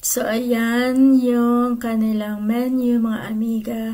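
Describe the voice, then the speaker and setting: A woman talks in a fairly high pitch with monotone, flat intonation. Room echo is audible. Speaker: vlogger. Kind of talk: casual vlog narration.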